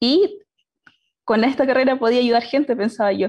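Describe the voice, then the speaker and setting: A woman talks at a fairly quick pace and a high pitch, with ordinary pitch variation, over a quiet background. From Chile, Concepción; Chile. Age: 20s. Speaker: engineering student; panelist. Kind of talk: personal story talk. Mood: cheerful, smiling. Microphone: video call.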